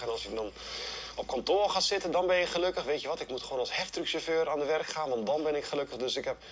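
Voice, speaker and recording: Light background noise sits under the recording. Over it, a man talks. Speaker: running workshop instructor. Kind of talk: interview answer. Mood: reflective, personal confession. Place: forest. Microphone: lapel.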